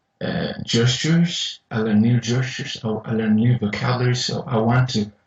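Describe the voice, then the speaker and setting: At a moderate pace, a man talks in a medium pitch with a somewhat breathy voice and fairly even intonation. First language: not English. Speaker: university engineering lecturer. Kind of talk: casual interview chat. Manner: halting, many repetitions.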